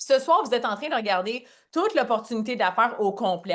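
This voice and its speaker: A woman speaks at a fairly quick pace against a quiet background. Her voice is fairly high. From Franco-Ontarian, Cornwall, Ontario. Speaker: network marketing presenter. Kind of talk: business opportunity presentation on a call. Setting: online call. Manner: casual, animated.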